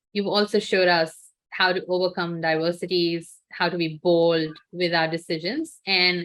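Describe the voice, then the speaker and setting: A woman with a fairly low pitch speaks at a moderate pace in a monotone, flat delivery. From India. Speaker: podcast host. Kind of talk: podcast interview.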